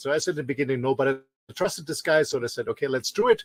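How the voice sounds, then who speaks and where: Here a man is speaking. He talks with an Austrian accent. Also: dry, close sound with no echo. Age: 50s. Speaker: business trainer and show co-host. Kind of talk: self-introduction. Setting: in a motorhome. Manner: halting, repeats words.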